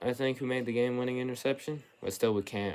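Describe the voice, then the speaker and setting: A man's voice against noticeable background noise. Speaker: sports video creator. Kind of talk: casual film breakdown commentary. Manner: animated.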